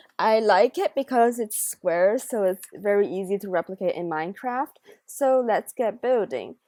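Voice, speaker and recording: A woman with a Chinese accent speaks with lively intonation and a fairly high pitch. Her tone is dark and mellow, in a very clean recording with a silent background. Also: moderate pace, dry, close sound with no echo. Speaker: gaming YouTuber. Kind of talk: gameplay commentary. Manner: casual, chatty.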